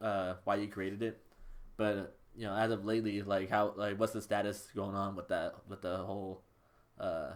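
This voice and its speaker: A man's fairly low-pitched voice at a moderate pace, monotone with flat intonation. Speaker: interview podcast host. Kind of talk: casual interview.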